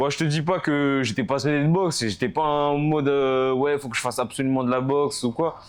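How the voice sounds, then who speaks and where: Fairly quick and with hardly any pauses, a man with a fairly high pitch keeps his intonation fairly even. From France, Paris suburbs (Val-d'Oise). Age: 20s. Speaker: professional boxer. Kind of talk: casual interview. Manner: hesitant, many fillers.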